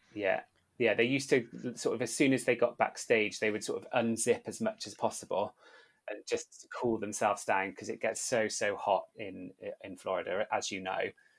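A man with an English accent talks at a moderate pace, his loudness swinging widely. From UK. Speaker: podcast host, former theme park worker. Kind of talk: casual chat.

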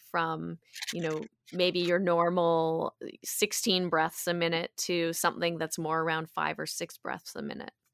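A woman speaks in an ordinary speaking voice, fairly low in pitch and fairly slow in pace, with fairly even intonation. The sound is dry and close with no echo, a very clean recording with a silent background. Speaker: yoga teacher and wellness coach. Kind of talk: casual interview.

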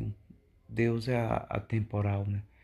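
A man speaks in a flat monotone at a fairly low pitch, his tone dark, mellow and somewhat breathy. The background is quiet. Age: 40s. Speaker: preacher. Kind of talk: sermon. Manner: halting.

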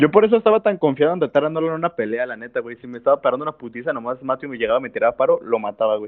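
A man talks very fast at a fairly high pitch, with very wide swings in pitch and big shifts in loudness. He hardly pauses at all. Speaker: podcast co-host. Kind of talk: casual chat.

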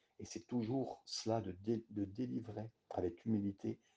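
A man's dark, mellow, somewhat breathy voice, fairly low in pitch, with ordinary pitch variation and a fairly slow pace. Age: 50s. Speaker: pastor / bible teacher. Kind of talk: bible study sermon. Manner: halting, with frequent hesitations.

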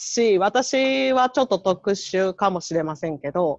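A woman with a plain, everyday voice speaks fairly slowly at a medium pitch with lively intonation, the sound dry and close with no echo against a quiet background. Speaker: public health nurse volunteer. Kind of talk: casual chat.

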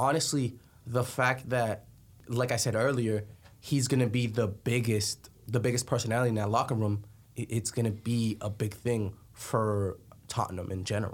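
A somewhat breathy man speaks at medium pitch. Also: fairly even intonation, moderate pace. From Colombia. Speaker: soccer podcast co-host. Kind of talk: casual sports chat.

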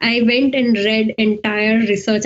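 Somewhat breathy and fairly high-pitched, a woman speaks in a monotone, flat way. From India. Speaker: scientific writer and editor, researcher. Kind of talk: interview. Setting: video call.

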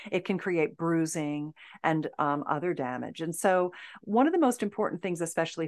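A woman with an ordinary speaking voice, pitched fairly low, with ordinary pitch variation. The background is quiet. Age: 60s. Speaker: intimacy expert and author. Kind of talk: podcast interview.

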